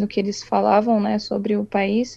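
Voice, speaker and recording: A woman's dark, mellow voice, monotone and flat, at a fairly slow pace. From Brazil, São Paulo state (Itu). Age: 20s. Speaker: illustrator. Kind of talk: casual interview.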